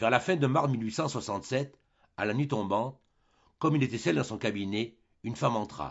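Simply plain reading aloud

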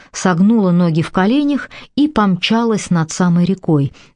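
The passage is given as plain reading aloud.

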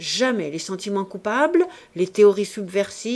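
The clip features an unforced reading voice.

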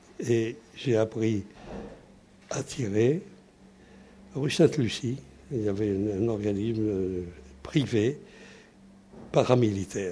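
A man with a somewhat breathy voice and a dark, mellow tone speaks at a very slow pace, with long, frequent pauses. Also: medium pitch for a man, ordinary pitch variation. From France (Paris, then Toulouse from age 13). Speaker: WWII resistance veteran. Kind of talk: testimony. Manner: halting.

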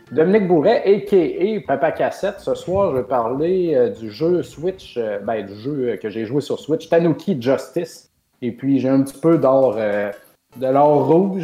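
With hardly any pauses, a man with a fairly high pitch talks at a very slow pace, his pitch swinging very widely. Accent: Quebec. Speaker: video game podcast co-host. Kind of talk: casual chat.

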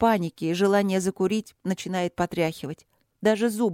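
Fairly even intonation shapes an unforced reading voice, with a quiet background behind it.

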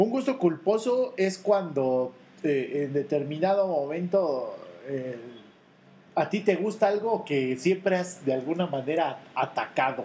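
A man with a Mexican accent talks at a fairly slow pace in a high pitch. His tone is dark and mellow, and his intonation is lively. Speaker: podcast co-host. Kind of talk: casual chat.

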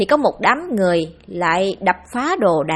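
The voice is an unforced reading voice. It reads without strain.

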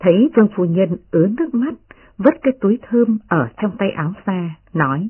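Simple, plain reading aloud

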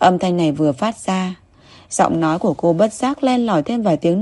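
Someone is reading aloud in a natural voice, and the intonation stays lively.

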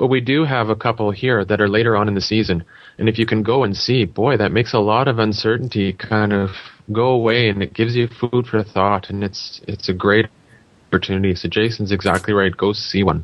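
An unremarkable speaking voice moves at a fairly quick pace. Intonation is fairly even and loudness very even. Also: man, fairly low pitch for a man. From Canada. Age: 30s. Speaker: triathlon podcaster and official. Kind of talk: casual panel chat.

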